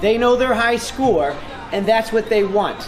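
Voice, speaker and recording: Clear music plays in the background as a man speaks at a high pitch. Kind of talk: interview answer. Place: gym.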